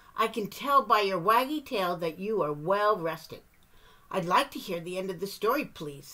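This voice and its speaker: A woman puts on a character voice at a medium pitch. She keeps a moderate pace. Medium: read story. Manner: chirpy, bubbly.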